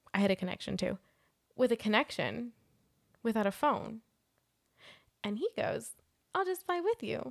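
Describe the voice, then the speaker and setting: Speaking at a moderate pace with long, frequent pauses, a woman is heard in a dry, close recording with no echo. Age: 20s. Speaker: podcast co-host. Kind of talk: casual chat. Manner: animated.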